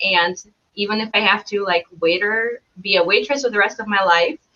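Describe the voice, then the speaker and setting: A woman speaks at medium pitch in a Belarusian accent. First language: Belarusian or Russian. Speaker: travel blogger. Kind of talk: casual interview chat.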